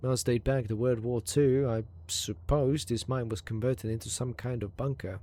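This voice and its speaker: A man speaks at a moderate pace with a medium pitch and a dark, mellow, somewhat breathy tone. The recording is very clean, with a silent background. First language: Hungarian. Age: 30s. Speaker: video game streamer. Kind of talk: live gameplay commentary with reading aloud. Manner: halting, stumbles over words.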